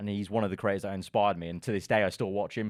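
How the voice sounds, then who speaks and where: Against a quiet background, a man with a London accent speaks at a fairly low pitch in a monotone, flat intonation. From London, England. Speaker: F1 content creator. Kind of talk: casual interview chat. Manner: casual, hesitant fillers.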